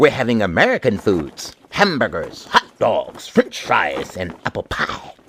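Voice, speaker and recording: This is a man talking. His voice is a put-on character voice. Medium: read story.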